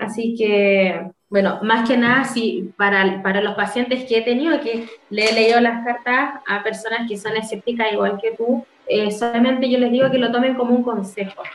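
A woman's plain, everyday voice, fairly high in pitch, with fairly even intonation at a moderate pace. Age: 30s. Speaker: tarot reader. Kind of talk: tarot reading.

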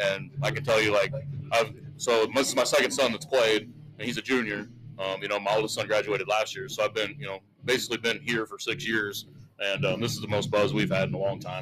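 A man talks at a fairly quick pace in a normal speaking voice, with a medium pitch and ordinary pitch variation. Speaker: local sports broadcaster. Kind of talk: casual interview. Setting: broadcast booth at football game.

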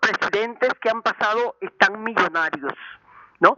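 The sound is dry and close with no echo as a woman speaks at a moderate pace in a fairly high pitch. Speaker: elderly caller. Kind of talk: call-in comment.

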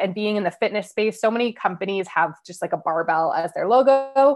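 A normal speaking voice with a Canadian accent, fairly quick pace and lively intonation. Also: woman. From Canada, Ottawa. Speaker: business coach. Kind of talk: podcast interview.

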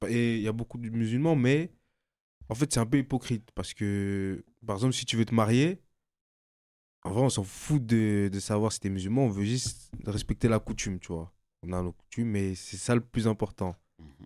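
With a dark, mellow tone, a man speaks with long, frequent pauses and ordinary pitch variation, recorded very cleanly against a silent background. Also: medium pitch for a man, moderate pace, big swings in loudness. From Mali. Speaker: debate participant. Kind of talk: casual debate.

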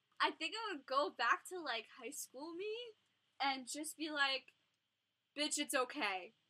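With an American accent, a woman projects a raised, high-pitched voice of bright, sharp tone at a fairly slow pace, her pitch swinging very widely and her loudness swinging a lot, broken by long, frequent pauses. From Long Island, New York. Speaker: social work graduate student. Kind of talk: casual interview chat. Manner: animated.

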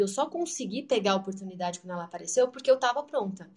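Somewhat breathy, a woman with a medium pitch speaks at a very fast pace. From Brazil. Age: 30s. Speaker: English teacher. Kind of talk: online talk / presentation.

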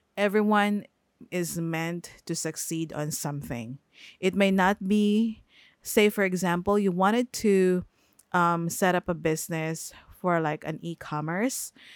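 A fairly slow voice with a Filipino accent and ordinary pitch variation, dry and close with no echo, on a very clean recording with a silent background. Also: woman, fairly low pitch for a woman. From Philippines. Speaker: podcast host. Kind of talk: casual solo podcast talk. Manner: hesitant, many fillers.

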